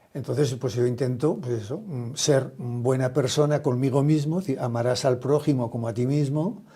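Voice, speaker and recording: A man with a dark, mellow tone talks at a moderate pace, somewhat breathy and with hardly any pauses. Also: medium pitch for a man, ordinary pitch variation. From Spain, Aragon. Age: 70s. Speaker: social entrepreneur, retired company founder. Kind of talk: interview conversation.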